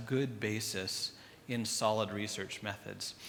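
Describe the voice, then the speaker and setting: The man's tone is bright and sharp, with audible room echo in the recording. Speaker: clinical trainer. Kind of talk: lecture.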